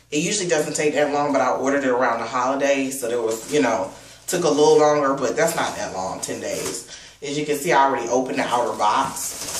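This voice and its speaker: There is audible room echo and light background noise as a man with a fairly high voice talks at a very fast pace. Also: ordinary pitch variation. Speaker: product reviewer. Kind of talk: unboxing review. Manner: subdued. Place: home room. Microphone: webcam.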